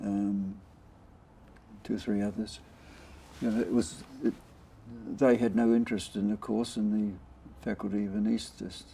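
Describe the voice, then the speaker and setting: A man with a New Zealand accent speaks at a fairly low pitch in a dark, mellow tone. His pace is moderate, broken by long, frequent pauses. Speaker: intensive care doctor, former anaesthetist. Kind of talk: oral history interview answer.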